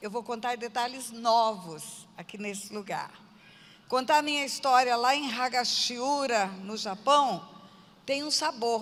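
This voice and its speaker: Speaking at a very slow pace, a woman uses a fairly high pitch with ordinary variation. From Brazil, Mato Grosso do Sul (Aquidauana). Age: 60s. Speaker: pastor. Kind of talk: testimony.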